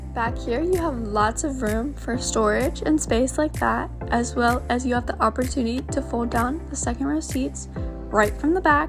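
A woman talks at a moderate pace as music plays clearly behind her. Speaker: car dealership salesperson. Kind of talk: product walkaround tour. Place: car. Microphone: phone near.

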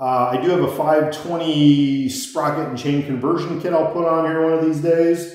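In a quiet background, a man with an American accent speaks at a fairly slow pace with a fairly high pitch. His intonation is fairly even, and the room echo is strong. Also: hardly any pauses. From Iowa. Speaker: motorcycle vlogger. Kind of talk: casual monologue storytelling. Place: home room. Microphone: phone near.

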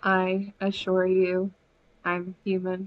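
A female-sounding voice in a put-on character act holds a medium pitch with monotone, flat intonation. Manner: deadpan, joking.

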